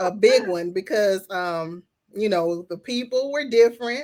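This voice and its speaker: On a very clean recording with a silent background, a woman with a Southern US accent speaks fairly slowly at a medium pitch with ordinary pitch variation. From Louisiana, US South (Baton Rouge). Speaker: plus-size model and event host. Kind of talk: casual interview.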